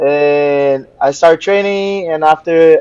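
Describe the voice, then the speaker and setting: A man with a Portuguese accent speaks in a dark, mellow tone at a fairly high pitch, with fairly even intonation and a dry, close sound with no echo. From Brazil, Rio de Janeiro. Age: 20s. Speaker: jiu-jitsu professor. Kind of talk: interview.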